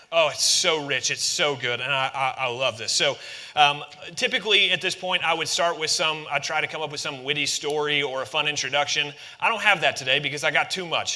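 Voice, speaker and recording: With noticeable background noise behind him, a man whose pitch is fairly high talks fairly quickly, his pitch varying in an ordinary way. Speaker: pastor. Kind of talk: sermon. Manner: fast.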